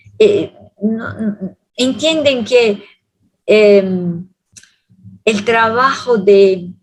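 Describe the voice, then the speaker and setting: A somewhat breathy woman's voice. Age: 70s. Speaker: theologian lecturer. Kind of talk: Q&A answer at public lecture. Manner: halting.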